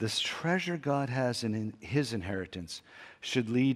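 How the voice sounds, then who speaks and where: Over a very clean recording with a silent background, a man with a plain, everyday voice speaks at a moderate pace and medium pitch with lively intonation. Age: 60s. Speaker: pastor. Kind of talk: sermon.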